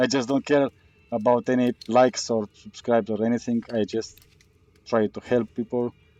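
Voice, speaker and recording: A man with a non-native accent, monotone and flat at a moderate pace, dark and mellow in tone, in a dry, close sound with no echo. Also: medium pitch for a man. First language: not English. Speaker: gaming youtuber. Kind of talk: gameplay tutorial commentary. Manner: hesitant, many fillers.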